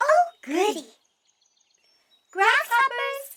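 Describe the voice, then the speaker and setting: A squeaky, put-on character voice rises to an extremely high pitch. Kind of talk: children's theater character voice. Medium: read story. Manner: sweet, bright, welcoming.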